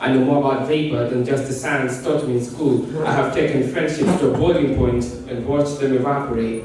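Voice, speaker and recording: Noticeable background noise and audible room echo surround a man talking at a fairly quick pace and medium pitch. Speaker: spoken word poet. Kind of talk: spoken word performance. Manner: animated; intense, emotive.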